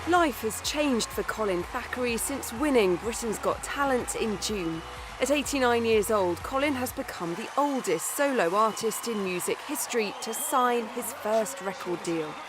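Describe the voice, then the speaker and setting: Over noticeable background noise, a woman with a fairly high pitch and lively intonation speaks at a moderate pace with hardly any pauses. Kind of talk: TV news narration.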